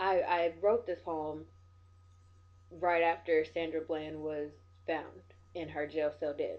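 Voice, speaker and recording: In a very deep, low voice, a woman speaks at a fairly slow pace. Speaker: spoken word poet and vlogger. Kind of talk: vlog commentary. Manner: passionate, intense; stuttering.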